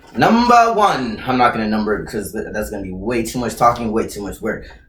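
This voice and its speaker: With lively intonation, a man of medium pitch speaks at a fairly quick pace amid audible room echo. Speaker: YouTuber answering viewer questions. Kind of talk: casual Q&A vlog. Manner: loud; animated.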